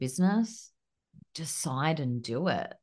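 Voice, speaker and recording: A woman with an Australian accent at a very slow pace, her intonation lively, against a quiet background. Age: 30s. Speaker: business coach and podcast co-host. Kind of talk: casual chat.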